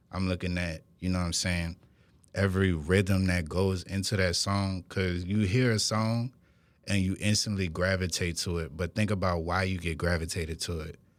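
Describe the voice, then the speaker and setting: A man speaks with a New Orleans accent at a moderate pace, his pitch very deep and low. His intonation stays fairly even on a very clean recording with a silent background. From New Orleans, Westbank. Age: 20s. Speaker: rapper. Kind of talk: interview. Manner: casual.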